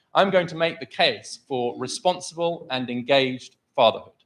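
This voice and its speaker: A man speaks loud and at a fairly slow pace. His pitch variation is ordinary. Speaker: think tank scholar and author. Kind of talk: formal debate speech. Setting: stage with live audience.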